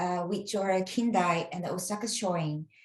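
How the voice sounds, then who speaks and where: A woman with a Japanese accent at a very slow pace. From Japan, Kansai (Nara). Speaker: English teacher. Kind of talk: interview. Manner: halting.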